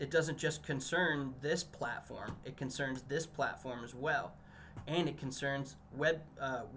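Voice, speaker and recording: Over noticeable background noise, a man talks in a flat monotone at a fairly high pitch. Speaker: communications director presenting marketing results. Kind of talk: business presentation. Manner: halting, many fillers and restarts.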